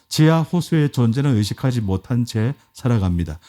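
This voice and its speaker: Very wide pitch swings mark this man's dark, mellow tone, recorded very cleanly against a silent background with a dry, close sound and no echo. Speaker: pastor. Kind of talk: sermon. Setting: church.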